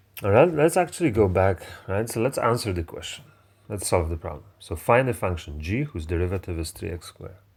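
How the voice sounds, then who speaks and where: A man with a Polish accent talks at a fairly quick pace, his fairly low voice somewhat breathy and his intonation lively. His loudness swings widely in a very clean recording with a silent background. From Poland. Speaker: math teacher. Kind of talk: lecture. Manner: halting, with many fillers.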